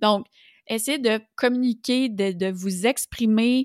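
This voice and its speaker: A woman with a Quebec accent speaks at a very slow pace with a fairly high pitch. Her intonation stays fairly even on a very clean recording with a silent background. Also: dry, close sound with no echo. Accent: Québécois French. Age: 40s. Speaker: business coach and podcast host. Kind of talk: solo podcast monologue. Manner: casual, conversational with frequent fillers.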